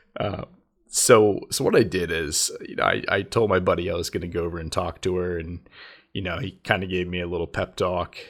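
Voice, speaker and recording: A man with a very deep, low pitch talks at a fairly quick pace with fairly even intonation, on a very clean recording with a silent background. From United States. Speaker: YouTuber. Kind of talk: storytelling monologue. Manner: halting, many fillers; casual.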